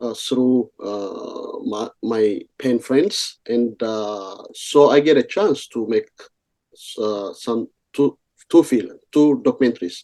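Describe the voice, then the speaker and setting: With an Ethiopian accent, the speaker talks very slowly in a dark, mellow tone with ordinary pitch variation. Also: man, medium pitch for a man. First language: Amharic. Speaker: journalist and writer in exile. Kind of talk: radio interview. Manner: halting, many fillers.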